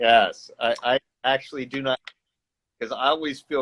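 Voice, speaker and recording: A man speaks loudly with a bright, sharp tone. His intonation stays fairly even. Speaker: podcast host. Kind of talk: casual interview.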